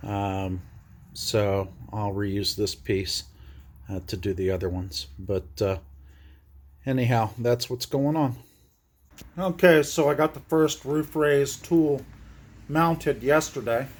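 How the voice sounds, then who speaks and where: A man with a somewhat breathy voice speaks very slowly, with long, frequent pauses. His pitch swings very widely, and the recording is very clean with a silent background. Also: medium pitch for a man. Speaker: DIY bus converter. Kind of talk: casual tutorial vlog. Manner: hesitant with many fillers.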